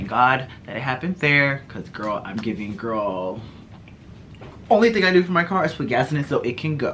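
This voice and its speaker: A man speaks in an animated tone at a fairly high pitch. His pitch swings very widely. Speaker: beauty and lifestyle vlogger. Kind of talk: casual vlog storytelling. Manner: fast.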